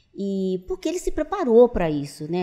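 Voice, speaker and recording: At a fairly slow pace, a woman speaks in a dark, mellow tone with very wide pitch swings. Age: 70s. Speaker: business owner. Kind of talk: interview.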